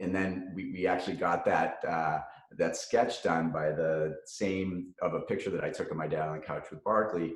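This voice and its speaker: A man speaks with a Boston accent at a moderate pace, with audible room echo. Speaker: cannabis company founder and CEO. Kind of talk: podcast interview. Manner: halting, many fillers and repetitions.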